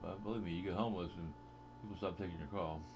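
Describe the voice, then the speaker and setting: A man's very deep, low voice at a very fast pace with lively intonation, amid audible room echo and noticeable background noise. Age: 60s. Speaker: vlogger. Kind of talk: casual monologue. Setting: home webcam recording. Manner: hesitant, with frequent fillers.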